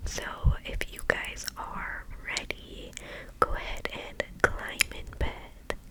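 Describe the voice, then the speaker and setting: A woman whispers very slowly over noticeable background noise. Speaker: ASMR content creator. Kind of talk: casual chit-chat to camera, ASMR. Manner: whispery, soft-spoken.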